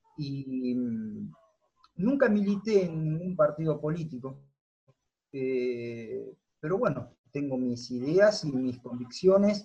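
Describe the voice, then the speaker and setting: Speaking at a very slow pace, a man with a fairly high pitch uses lively intonation in a somewhat breathy, dark, mellow tone. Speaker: football coach. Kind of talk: interview.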